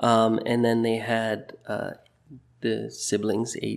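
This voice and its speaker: In a western Canadian accent, a man talks very slowly at a fairly low pitch. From Burnaby, British Columbia, Canada. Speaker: teacher. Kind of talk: interview.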